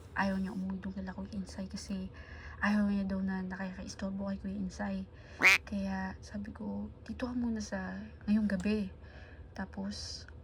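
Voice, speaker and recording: The voice is soft-spoken at a moderate pace. Noticeable background noise runs underneath. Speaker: vlogger. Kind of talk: vlog narration. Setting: indoors at home.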